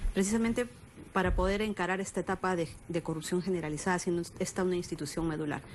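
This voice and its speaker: Speaking at a fairly quick pace, a woman with a plain, everyday voice keeps a fairly low pitch and fairly even intonation. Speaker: politician. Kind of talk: interview. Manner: firm, formal.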